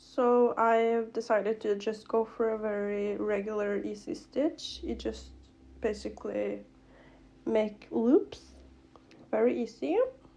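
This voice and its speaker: A woman with a non-native accent speaks at a fairly slow pace. She takes long, frequent pauses against a quiet background. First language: not English. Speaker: craft youtuber. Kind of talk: tutorial. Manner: casual, filler-heavy.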